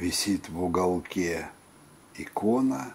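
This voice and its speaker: A man at a very slow pace. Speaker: poetry reader. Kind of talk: poetry reading. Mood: calm, reflective. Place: home room. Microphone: webcam.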